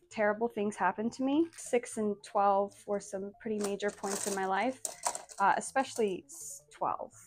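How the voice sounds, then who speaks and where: A woman with a fairly high pitch and ordinary pitch variation speaks against noticeable background noise. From Azores, Portugal, then US (Massachusetts, North Dakota). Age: 20s. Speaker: social media creator. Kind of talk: personal vlog monologue.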